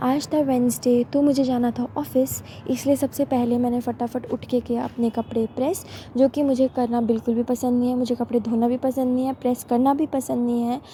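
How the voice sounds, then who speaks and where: A woman talks at a moderate pace in a high, monotone, flat voice. Noticeable background noise runs underneath. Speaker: vlogger. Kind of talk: vlog voice-over narration.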